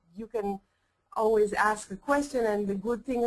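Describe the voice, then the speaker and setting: A woman with a non-native accent, fairly high pitch and moderate pace. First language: Hebrew. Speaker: rabbi and professor. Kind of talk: lecture. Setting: webinar. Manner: halting, many fillers.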